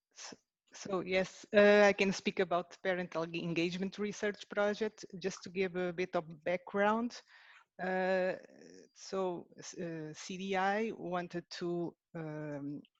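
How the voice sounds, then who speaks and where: A woman with a Portuguese accent speaks at a very slow pace and medium pitch, with fairly even intonation and big swings in loudness. The sound is dry and close with no echo, against a quiet background. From Portugal. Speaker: researcher. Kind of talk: webinar presentation. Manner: halting.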